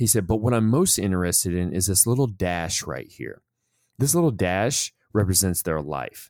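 Lively intonation and a moderate pace mark a normal speaking voice, captured in a very clean recording with a silent background. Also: man, fairly low pitch for a man. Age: 40s. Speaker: podcast host and former soldier leader. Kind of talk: casual conversational podcast.

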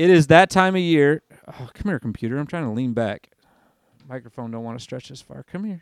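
Recorded dry and close with no echo on a very clean, silent background, a man speaks at a moderate pace with lively intonation in an ordinary speaking voice. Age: 30s. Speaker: sports podcast host. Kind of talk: casual solo podcast monologue. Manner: casual with frequent fillers.

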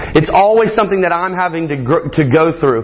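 A man speaks with a Southern US accent at a high pitch. His pace is fairly quick, and there is noticeable background noise. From Morgan County, Georgia. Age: 20s. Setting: church.

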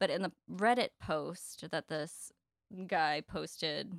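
The voice belongs to a woman, with vocal fry and ordinary pitch variation. It sounds dry and close, with no echo. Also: very clean recording, silent background. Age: 20s. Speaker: podcast co-host. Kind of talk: casual chat.

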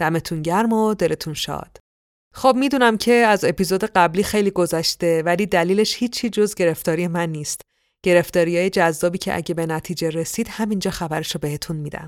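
An unremarkable speaking voice moves at a fairly quick pace with ordinary pitch variation. The recording is very clean with a silent background. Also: woman, fairly low pitch for a woman. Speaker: podcast host and storyteller. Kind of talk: scripted narration.

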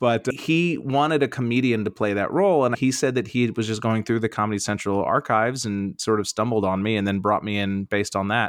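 A man's fairly low, very fast voice with an American accent and ordinary pitch variation, dry and close with no echo against a quiet background. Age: 40s. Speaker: stand-up comedian. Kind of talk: casual interview chat.

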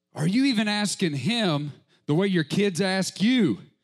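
On a very clean recording with a silent background, a man with a high pitch speaks at a fairly slow pace, his pitch swinging very widely. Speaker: preacher. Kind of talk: sermon. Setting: church with live congregation. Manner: fervent, impassioned preaching.

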